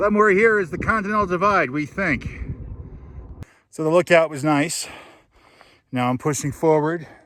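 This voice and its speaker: Speaking at a moderate pace with long, frequent pauses, a man uses a bright, sharp tone at a fairly high pitch with ordinary pitch variation. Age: 40s. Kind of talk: casual talk to camera while hiking.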